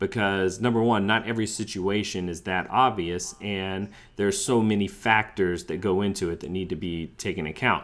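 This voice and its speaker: With an American accent, a man speaks in an unremarkable speaking voice at a fairly low pitch, with fairly even intonation. His moderate pace has hardly any pauses, and the recording is very clean with a silent background. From US South. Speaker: sports podcast host. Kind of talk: casual chat.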